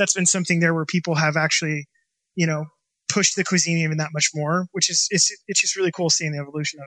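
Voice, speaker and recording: Very fast and monotone, a man with a US West Coast accent talks in a high pitch with a bright, sharp tone and flat intonation. The recording is very clean, with a silent background. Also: dry, close sound with no echo. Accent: US West Coast American. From Washington state, US Pacific Northwest. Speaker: chef and restaurant owner. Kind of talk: interview.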